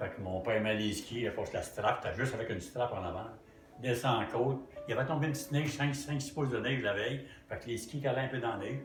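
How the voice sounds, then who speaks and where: A man with a Quebec accent at a very fast pace, medium pitch and ordinary pitch variation, over background music with audible room echo. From Quebec, Drummondville. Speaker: retired sales manager. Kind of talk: interview.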